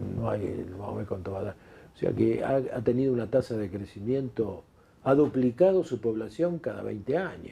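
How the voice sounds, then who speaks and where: Speaking in a Rioplatense accent, a man uses a medium pitch, lively intonation and a moderate pace, sounding somewhat breathy. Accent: Argentine Spanish (rioplatense). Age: 70s. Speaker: retired doctor and former politician. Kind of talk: interview. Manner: halting, frequent repetitions and fillers.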